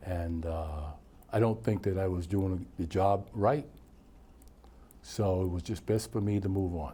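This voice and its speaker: A man's very deep, low voice, dark and mellow, somewhat breathy, at a fairly slow pace with ordinary pitch variation and long, frequent pauses. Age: 70s. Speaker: retired coach and recreation director. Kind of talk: casual interview.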